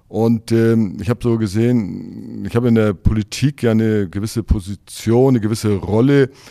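A man speaks at a moderate pace with a medium pitch and fairly even intonation. The recording is very clean, with a silent background. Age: 60s. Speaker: mayoral candidate. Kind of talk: interview. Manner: hesitant, many fillers.

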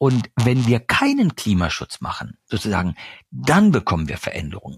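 Somewhat breathy at a moderate pace, a man is heard on a very clean recording with a silent background and a dry, close sound with no echo. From eastern Germany. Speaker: journalist and author. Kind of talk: interview. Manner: hesitant, many fillers.

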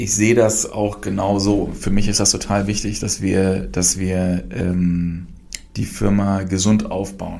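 In a room with audible echo, a man speaks fairly slowly at a fairly low pitch with monotone, flat intonation. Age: 40s. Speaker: brewery founder and managing director. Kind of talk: casual interview. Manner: many filler sounds.

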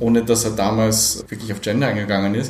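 Through noticeable background noise and audible room echo, a man speaks at a medium pitch with fairly even intonation. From Poland, raised in Austria. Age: 40s. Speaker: gender equality project coordinator and diversity trainer. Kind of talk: casual interview. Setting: café.

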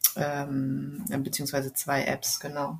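A woman is speaking. Her pace is very slow. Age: 30s. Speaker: communication trainer and coach, course participant. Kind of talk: interview. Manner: hesitant, many filler sounds.

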